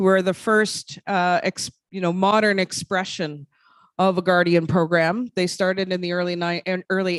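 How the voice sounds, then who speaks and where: Speaking fairly quickly with a slight Labrador accent, a woman keeps a medium pitch and a flat, monotone delivery in a dry, close recording with no echo. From Quebec, Innu community. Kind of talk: conference presentation. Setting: conference hall with audience. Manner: halting with fillers.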